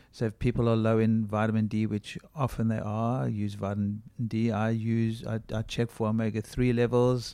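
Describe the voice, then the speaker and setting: Moderate-paced speech from a man at a medium pitch, dark and mellow in tone, with monotone, flat intonation. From South Africa. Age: 60s. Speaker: functional medicine doctor. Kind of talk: interview.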